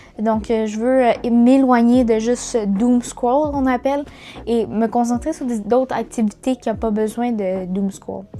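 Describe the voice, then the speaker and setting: In a Quebec accent, a woman talks at a fairly slow pace and a fairly high pitch, with fairly even intonation. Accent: Québécois French. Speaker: YouTuber, student. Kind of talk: casual vlog talk. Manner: halting, many fillers.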